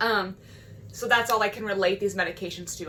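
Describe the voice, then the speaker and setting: A woman speaks at a fairly quick pace at a medium pitch, with fairly even intonation. Background noise is noticeable. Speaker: mental health vlogger. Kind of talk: casual vlog monologue. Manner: fast.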